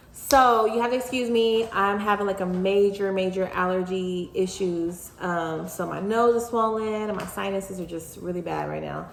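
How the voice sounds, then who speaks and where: With hardly any pauses, a woman talks at a moderate pace and medium pitch with fairly even intonation, amid audible room echo and noticeable background noise. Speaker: commentary vlogger. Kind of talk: casual commentary vlog. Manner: casual, halting with fillers.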